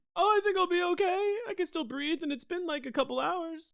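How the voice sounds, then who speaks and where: A man's squeaky, put-on character voice, extremely high in pitch, nervous in tone and fairly quick in pace. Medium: actual play. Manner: nervous, fretful.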